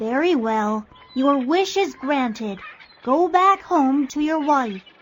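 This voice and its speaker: A put-on character voice, female-sounding and high-pitched, delivered at a fairly slow pace. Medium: read story.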